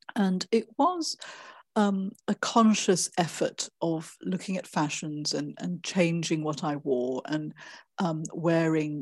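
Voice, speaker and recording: A woman with a fairly low pitch speaks at a very slow pace with ordinary pitch variation on a very clean recording with a silent background. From Malaysia. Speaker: author and performance artist. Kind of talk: interview conversation. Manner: hesitant, many fillers.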